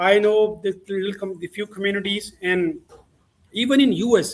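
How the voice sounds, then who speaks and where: This man has a high-pitched voice and a non-native accent. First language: not English. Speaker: talk show host. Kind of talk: interview. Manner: halting, many repetitions.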